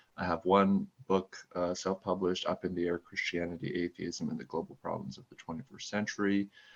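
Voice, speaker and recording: A man with a Canadian accent talks at a fairly quick pace with hardly any pauses and big swings in loudness. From Canada. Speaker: author. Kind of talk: podcast interview.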